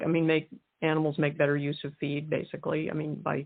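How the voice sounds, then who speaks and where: Speaking with an American accent, the woman has a very deep, low pitch. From US West, Wyoming. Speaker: author. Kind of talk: interview. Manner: halting.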